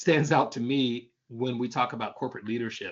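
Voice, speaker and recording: Speaking at a fairly quick pace, a man has a plain, everyday voice with a fairly high pitch. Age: 60s. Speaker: leadership workshop speaker. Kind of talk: online workshop presentation.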